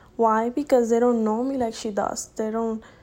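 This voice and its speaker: A woman's high voice with a Spanish accent, fairly even intonation and a fairly quick pace. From Dominican Republic. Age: young. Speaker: college student podcaster. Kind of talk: casual monologue. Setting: home recording at night. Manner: halting.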